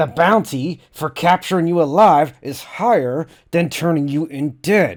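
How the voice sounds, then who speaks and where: Someone performs a put-on character voice at a moderate pace. The recording is very clean, with a silent background. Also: man, fairly high pitch for a man. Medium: read story. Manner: calm, businesslike.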